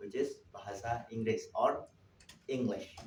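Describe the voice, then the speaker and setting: In a room with audible echo, a man speaks at a fairly slow pace with an Indonesian accent. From Indonesia, Java. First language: Javanese. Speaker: linguist and language teacher presenting at a conference. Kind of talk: conference presentation. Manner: halting, with self-corrections.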